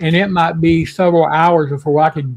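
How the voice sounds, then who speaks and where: With a plain, everyday voice, a man talks at a moderate pace and a fairly high pitch. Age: 60s. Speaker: livestream show host. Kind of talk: casual chat.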